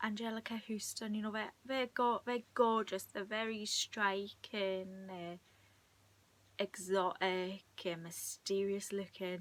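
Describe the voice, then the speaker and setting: Speaking at a very slow pace, a woman keeps her intonation fairly even. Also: medium pitch for a woman. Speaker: video blogger. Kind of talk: casual chat. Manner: soft-spoken; halting.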